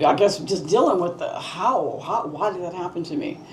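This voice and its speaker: A woman with an American accent, fairly low in pitch, at a moderate pace, with audible room echo and noticeable background noise. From US West Coast, Los Angeles. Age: 60s. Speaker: talk show host. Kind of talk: casual discussion.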